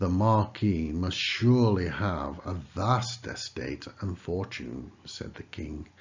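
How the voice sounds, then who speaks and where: The voice carries vocal fry and lively intonation. Delivery is at a very slow pace. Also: man. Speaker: narrator. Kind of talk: children's story reading.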